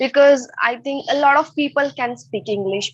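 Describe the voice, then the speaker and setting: A woman with an Indian accent at a fairly quick pace. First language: Hindi or Marathi. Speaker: English learner, channel creator. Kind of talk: online English speaking class. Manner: halting, hesitant.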